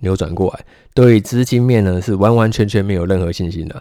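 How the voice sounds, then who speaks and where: A man with a fairly low pitch speaks at a very fast pace with ordinary pitch variation. The recording is very clean, with a silent background. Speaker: stock market podcast host. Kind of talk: solo podcast market commentary.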